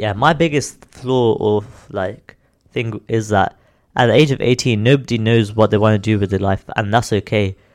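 In an ordinary speaking voice with ordinary pitch variation and big swings in loudness, the speaker moves at a moderate pace over a quiet background. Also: man, fairly low pitch for a man. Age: 20s. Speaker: podcast co-host. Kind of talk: casual chat.

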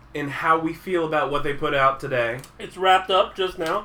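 A man speaks in a raised, projected voice at a moderate pace. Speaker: gaming podcast host. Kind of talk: casual chat; scripted intro. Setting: live stream recording.

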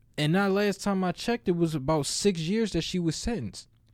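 A man with a high voice speaks at a moderate pace in a very clean recording with a silent background. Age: 20s. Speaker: podcast co-host. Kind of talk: casual chat. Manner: animated.

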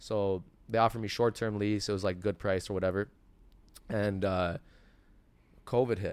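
Spoken at a moderate pace in a Toronto accent, the voice stays monotone and flat, broken up by long, frequent pauses. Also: man, fairly low pitch for a man. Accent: Canadian (Toronto). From Toronto area, Canada. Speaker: sneaker store founder. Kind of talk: casual interview. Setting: in his sneaker store.

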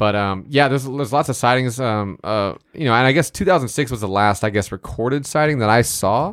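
With an ordinary speaking voice, a man talks at a fairly quick pace and medium pitch, using lively intonation. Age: 30s. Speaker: podcast co-host. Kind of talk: casual chat.

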